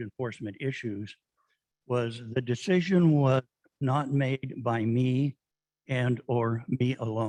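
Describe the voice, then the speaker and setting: Soft-spoken and at a medium pitch, a man talks in a dry, close sound with no echo. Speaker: public commenter at city council. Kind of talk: public comment. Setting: city council meeting.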